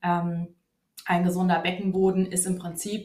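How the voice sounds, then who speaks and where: Here a woman talks at a moderate pace in a medium pitch. Her voice is somewhat breathy. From Hesse, Germany (Wiesbaden). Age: 30s. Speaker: physiotherapist. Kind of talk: interview. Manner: hesitant, many fillers.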